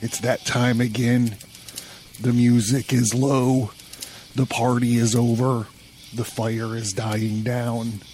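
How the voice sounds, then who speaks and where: A man speaks at a medium pitch and a very slow pace, with long, frequent pauses. Noticeable background noise sits behind him. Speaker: podcast host. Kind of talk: podcast monologue. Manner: animated.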